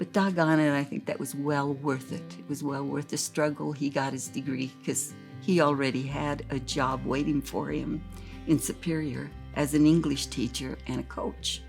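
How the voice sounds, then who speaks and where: With music playing in the background, a woman talks at a moderate pace with an American accent. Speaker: grandmother. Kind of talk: interview answer.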